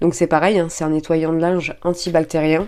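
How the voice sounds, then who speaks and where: The recording is very clean, with a silent background. A woman speaks at a moderate pace in a fairly low, dark, mellow voice with fairly even intonation. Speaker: beauty and shopping vlogger. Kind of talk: product haul review; reading aloud. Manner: hesitant, many fillers.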